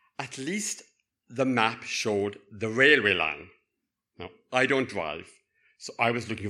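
In a Cork accent, a man speaks at a fairly slow pace with a bright, sharp tone, a medium pitch and ordinary pitch variation. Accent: Cork accent, lilting. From Cork, Ireland. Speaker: university lecturer, storyteller. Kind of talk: personal storytelling. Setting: stage with audience.

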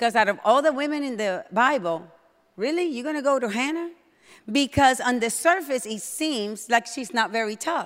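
A woman speaks in a high voice with a non-native accent. Her tone is animated. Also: lively intonation, moderate pace. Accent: non-native accent, noticeable. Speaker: pastor. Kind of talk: sermon. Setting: church service with congregation. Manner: loud when excited.

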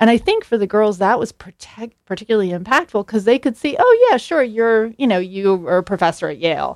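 A woman with an unremarkable speaking voice talks at a fairly quick pace with hardly any pauses. The sound is dry and close with no echo. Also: fairly high pitch for a woman, lively intonation. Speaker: assistant professor and center director, researcher. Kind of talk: radio interview.

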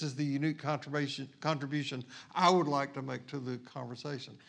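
A plain, everyday voice from a man, fairly high in pitch, at a moderate pace with ordinary pitch variation. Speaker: pastor. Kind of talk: sermon.

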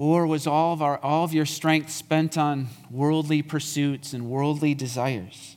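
An ordinary speaking voice from a man, fairly high in pitch, with fairly even intonation at a fairly slow pace, on a very clean recording with a silent background. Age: 50s. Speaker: lay preacher, former church elder. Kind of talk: sermon. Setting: church.

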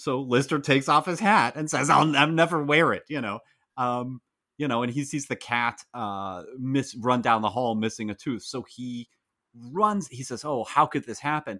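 A man with an American accent speaks at a moderate pace in a bright, sharp tone with lively intonation. The recording is very clean, with a silent background. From United States. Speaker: podcast co-host. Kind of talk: casual podcast chat.

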